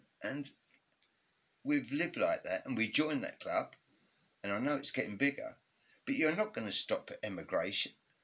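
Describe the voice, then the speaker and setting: With an English accent, a man talks at a moderate pace, leaving long, frequent pauses. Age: 70s. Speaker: retired father sharing political views. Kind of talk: casual interview. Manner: halting.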